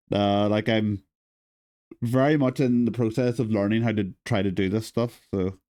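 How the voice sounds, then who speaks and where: Soft-spoken male voice at medium pitch, dark and mellow in tone, with fairly even intonation, very even loudness and a moderate pace. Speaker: streamer. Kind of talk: casual chat. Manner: halting.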